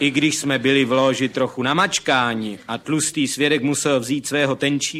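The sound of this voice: The delivery is an unforced reading voice, its intonation fairly even.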